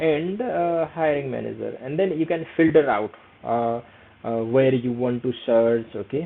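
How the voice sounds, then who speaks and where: A man with a Nepali accent speaks fairly slowly in a medium pitch with lively intonation. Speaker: career skills YouTuber. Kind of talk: tutorial. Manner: hesitant, many fillers; casual.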